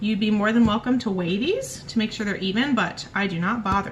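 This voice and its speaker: A fairly high-pitched woman with lively intonation over noticeable background noise. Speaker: home cooking video host. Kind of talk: cooking tutorial. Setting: home kitchen. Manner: casual.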